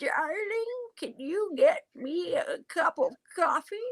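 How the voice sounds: Using a put-on character voice, a woman speaks at a fairly slow pace in an extremely high pitch with very wide pitch swings, the sound dry and close with no echo.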